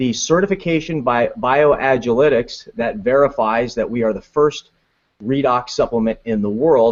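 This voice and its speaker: A man talks at a moderate pace with a medium pitch and ordinary pitch variation. His is an ordinary speaking voice. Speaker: web show host. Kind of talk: online talk show hosting.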